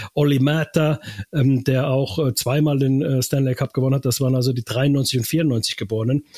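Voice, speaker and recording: Over noticeable background noise, a man speaks with very even loudness and fairly even intonation. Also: medium pitch for a man, moderate pace. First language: Finnish (speaking German). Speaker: radio sports reporter. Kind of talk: casual chat.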